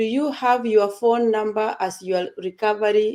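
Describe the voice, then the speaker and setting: This woman's fairly high voice has a dark, mellow tone, captured in a very clean recording with a silent background. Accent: non-native. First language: not English. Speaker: online community presenter. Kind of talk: casual group talk.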